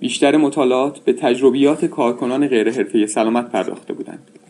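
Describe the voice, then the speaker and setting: A man talks at a fairly quick pace in an unremarkable speaking voice at medium pitch. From Iran. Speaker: health researcher and associate professor. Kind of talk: scripted narration. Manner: formal.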